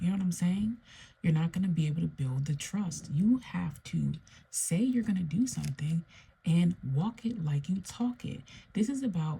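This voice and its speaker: Soft-spoken and somewhat breathy, a woman talks at a moderate pace with a fairly low pitch. Her tone is dark and mellow, and her intonation lively. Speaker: tarot reader. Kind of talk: tarot reading monologue. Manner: soft-spoken, low.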